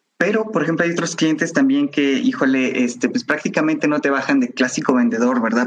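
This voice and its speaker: A man talks with a Mexican accent. His pitch swings very widely. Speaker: technical sales representative. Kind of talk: interview. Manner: hesitant, many fillers.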